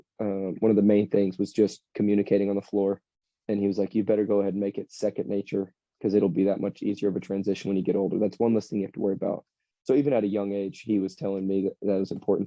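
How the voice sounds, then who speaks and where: A man's fairly low voice with an American accent at a very fast pace. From US South, Alabama. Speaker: basketball player. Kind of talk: interview chat. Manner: soft-spoken.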